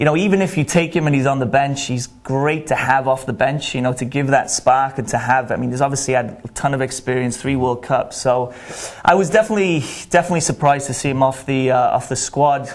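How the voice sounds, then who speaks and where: The voice carries a Welsh accent and ordinary pitch variation. It moves at a very fast pace. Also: man, medium pitch for a man. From Wales. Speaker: college soccer coach. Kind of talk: sports interview. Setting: studio.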